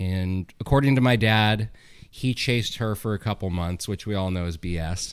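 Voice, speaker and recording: At a moderate pace, a man with a Californian accent speaks in a fairly low pitch with ordinary pitch variation. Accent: General American (Californian). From US West Coast, Sonoma, California. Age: 30s. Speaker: winemaker. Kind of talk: casual chat. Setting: studio.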